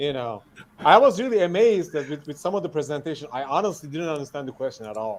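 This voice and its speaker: With a non-native accent, a man talks at a very fast pace with lively intonation. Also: fairly high pitch for a man, big swings in loudness. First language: not English. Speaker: guest. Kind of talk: casual chat. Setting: live stream.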